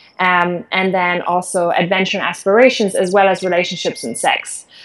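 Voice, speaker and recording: Speaking with a German accent, a woman keeps her intonation fairly even. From Germany. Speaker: conference organizer and behavioral change coach. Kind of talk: interview.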